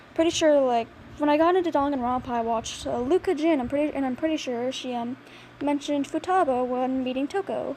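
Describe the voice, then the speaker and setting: A woman speaks quietly at a high pitch over noticeable background noise. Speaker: hobby artist vlogger. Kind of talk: casual drawing commentary. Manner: halting.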